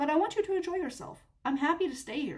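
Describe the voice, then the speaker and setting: A squeaky, high-pitched put-on character voice from a woman, with lively intonation at a very fast pace. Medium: read story. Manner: soft, whispered.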